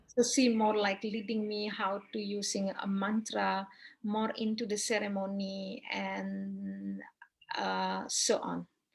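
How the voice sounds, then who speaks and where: A woman speaks at a very slow pace in a Balinese accent. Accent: Balinese Indonesian. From Bali, Indonesia. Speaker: Balinese priestess and yoga teacher. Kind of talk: interview answer. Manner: hesitant, non-native English with fillers.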